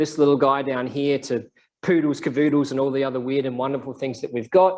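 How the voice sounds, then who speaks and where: A man with an Australian accent speaks at a fairly high pitch. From South Australia. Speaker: scientist giving a seminar. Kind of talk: lecture. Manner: casual, with many fillers. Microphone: microphone issue.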